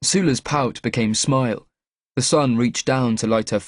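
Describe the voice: This is plain reading aloud with ordinary pitch variation. The background stays quiet.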